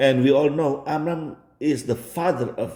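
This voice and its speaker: A man speaks at a medium pitch with a dark, mellow tone. His pace is very slow. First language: Indonesian. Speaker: religion commentator. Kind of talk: video commentary.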